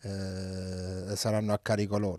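A man is speaking against a quiet background. His voice sounds dry, with no echo. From Naples, Italy; Italy. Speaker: oncologist; interviewee. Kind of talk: interview. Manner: halting, many fillers. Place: home room. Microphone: handheld.

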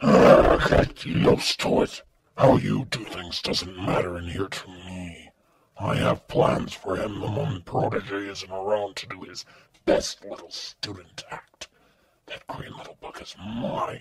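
Growling and raspy, a man speaks in a fairly low pitch at a fairly slow pace. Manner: cold, domineering, menacing.

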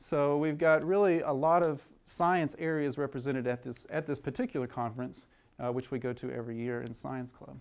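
A man's medium-pitched voice with fairly even intonation, set against a quiet background. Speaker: biology professor and department chair. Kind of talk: lecture. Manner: fast.

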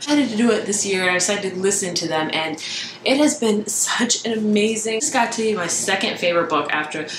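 With noticeable background noise, a woman talks at a very fast pace. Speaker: book vlogger. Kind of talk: casual vlog chat. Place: home room.

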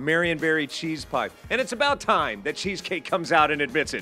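Over faint music in the background, a man speaks at a moderate pace in a raised, projected voice. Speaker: TV reporter. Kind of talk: lively live TV report. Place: cafe. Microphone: handheld.

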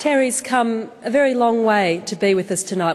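This is a woman with an Australian accent. The variation in her pitch is ordinary. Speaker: event host and moderator; event host, moderator. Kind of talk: formal event introduction. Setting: stage with live audience. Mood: warm, humorous. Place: hall. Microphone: podium.

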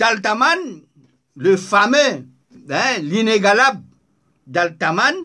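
The voice is raised and projected, bright and sharp in tone. It moves at a very slow pace with very wide pitch swings. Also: man, quiet background. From Mauritius. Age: 70s. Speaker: online political commentator. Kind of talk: video commentary monologue. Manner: animated. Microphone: phone near.

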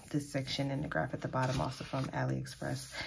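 A woman's voice amid noticeable background noise. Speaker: planner vlogger. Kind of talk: casual talk to camera. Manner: hesitant, many filler ums. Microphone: phone near.

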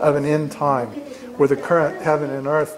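A man at a fairly quick pace over noticeable background noise. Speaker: Bible study teacher. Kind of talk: lecture. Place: classroom. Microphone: camera far.

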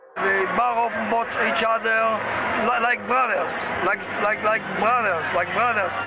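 Loud noise fills the background as a man talks fairly slowly, pausing often and at length. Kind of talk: interview answer. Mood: earnest, insistent. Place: street. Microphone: phone near.

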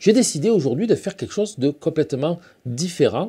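Against a quiet background, a man talks at a fairly quick pace in a dark, mellow, somewhat breathy tone. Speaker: painting teacher. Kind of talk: casual intro to a painting demo. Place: workshop. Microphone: lapel.

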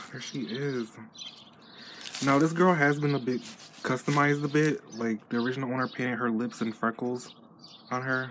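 With an American accent, a man at medium pitch talks at a moderate pace with fairly even intonation and long, frequent pauses, over noticeable background noise. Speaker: doll collector vlogger. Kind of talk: unboxing vlog. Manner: casual, hesitant with fillers.

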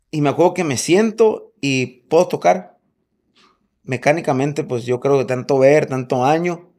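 A man at a fairly slow pace, fairly high in pitch, with lively intonation and a dark, mellow tone. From Mexico, Sonora (Hermosillo); Sonora. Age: 40s. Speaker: drummer; podcast guest. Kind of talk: casual chat. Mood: relaxed storytelling. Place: home room. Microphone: studio mic.

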